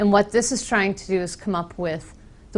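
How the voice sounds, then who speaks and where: In an American accent, a woman speaks with fairly even intonation. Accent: very American. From US Northeast, Boston. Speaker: software trainer with architecture background. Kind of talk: technical presentation.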